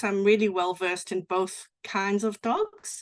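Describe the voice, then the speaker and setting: Fairly even intonation in a South African accent. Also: woman. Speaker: sheep and cattle rancher, livestock guardian dog expert. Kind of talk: presentation. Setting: online presentation with screen share.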